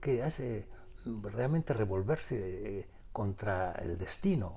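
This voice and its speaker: In a Peruvian accent, a man speaks in a dark, mellow tone that is somewhat breathy. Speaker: author. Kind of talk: interview. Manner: halting, many repetitions.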